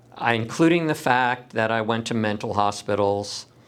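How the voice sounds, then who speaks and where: With an American accent, a man uses an ordinary speaking voice at a moderate pace with ordinary pitch variation. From US West Coast, San Diego. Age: 60s. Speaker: lawyer and activist. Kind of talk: personal monologue to camera.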